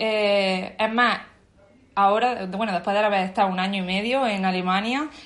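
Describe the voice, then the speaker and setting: A woman's voice with audible room echo. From Andalusia, Spain (Bailén, Jaén). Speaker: expat interviewee. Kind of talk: casual interview. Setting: video call.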